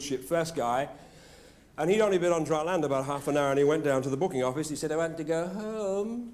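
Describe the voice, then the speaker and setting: A man with a British accent talks at a very fast pace and a fairly high pitch. His pitch varies in an ordinary way, with audible room echo around him. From Britain. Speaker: motivational speaker. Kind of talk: after-dinner speech. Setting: stage with audience. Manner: animated.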